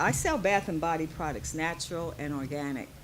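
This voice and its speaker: A woman speaks at a moderate tempo, and audible room echo can be heard. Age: 60s. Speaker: small business owner presenting at expo. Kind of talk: pitch presentation at expo. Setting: stage at expo event. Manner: halting.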